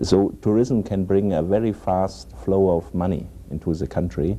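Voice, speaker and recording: A man's very deep, low voice with a dark, mellow tone, lively intonation, and a German accent. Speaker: economics specialist. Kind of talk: roundtable discussion. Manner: halting.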